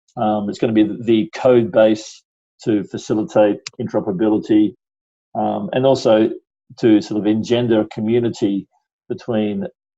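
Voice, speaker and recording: A man's fairly low voice with an Australian accent, ordinary pitch variation, a moderate pace and long, frequent pauses. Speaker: stock exchange executive. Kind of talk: interview. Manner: halting, many fillers.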